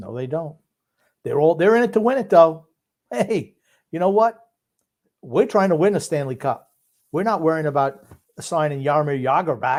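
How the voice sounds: Lively intonation from a man with fairly high pitch and a slightly mellow tone, at a moderate pace with long, frequent pauses.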